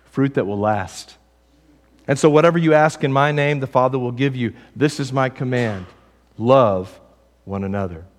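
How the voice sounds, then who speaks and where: A man with a Texas accent speaks at a moderate pace and medium pitch, with lively intonation. He leaves long, frequent pauses, and the recording is very clean with a silent background. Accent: Southern US (Texas). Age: 40s. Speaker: pastor. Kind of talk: sermon. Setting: church.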